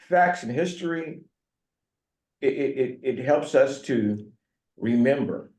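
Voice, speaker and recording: A man with an American accent, a dark, mellow tone, ordinary pitch variation and audible room echo. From US South, North Carolina (Franklin County). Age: 70s. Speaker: pastor. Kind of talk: talk to community group. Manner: halting.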